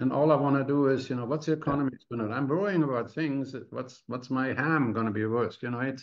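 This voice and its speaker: A man speaks fairly quickly with an ordinary speaking voice. His pitch is fairly high, with ordinary pitch variation. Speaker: podcast host. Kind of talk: casual interview.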